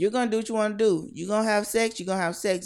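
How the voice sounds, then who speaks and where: Her recording is spotless, with total silence behind it. The woman sounds animated, and her pitch varies in an ordinary way. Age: 40s. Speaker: podcast host. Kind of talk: casual chat. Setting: live video stream.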